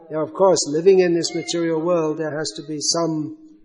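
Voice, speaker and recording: Over noticeable background noise, a man with a high pitch talks at a moderate pace in a monotone, flat intonation. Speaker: spiritual teacher. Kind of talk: religious lecture with questions.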